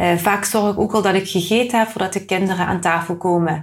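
The recording is very clean, with a silent background. The speech moves at a moderate pace with fairly even intonation. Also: woman. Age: 30s. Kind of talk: casual interview. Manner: halting.

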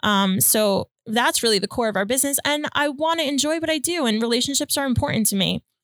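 A woman talks at a very fast pace with hardly any pauses. Her pitch is high and her intonation lively. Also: very even loudness. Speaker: loan officer and motivational speaker. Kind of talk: casual interview chat.

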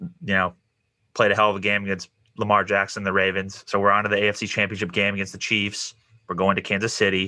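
A man speaks at a very fast pace in a bright, sharp tone. His fairly low voice stays monotone and flat. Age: 20s. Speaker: podcast host. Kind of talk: podcast intro monologue; casual interview. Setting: video call.

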